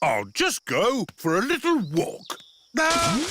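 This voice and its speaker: A high-pitched, cartoonish character voice. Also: fairly slow pace. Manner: jovial, chuckling.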